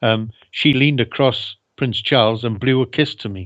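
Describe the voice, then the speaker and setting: A man with a Welsh accent, fairly even in intonation, against a quiet background. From Wales. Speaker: ex-air force engineer. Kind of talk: interview.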